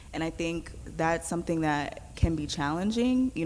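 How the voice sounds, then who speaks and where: At a fairly quick pace, a woman talks in a New York accent. Her pitch is fairly low, with ordinary pitch variation. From New York City (Queens, born in Brooklyn). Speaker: youth organizer. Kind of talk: panel discussion.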